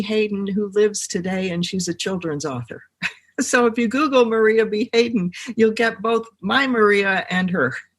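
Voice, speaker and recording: Speaking with an American accent, a woman with an unremarkable speaking voice uses a fairly high pitch, ordinary pitch variation and a moderate pace. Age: 60s. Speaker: genealogist and medium. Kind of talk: podcast interview.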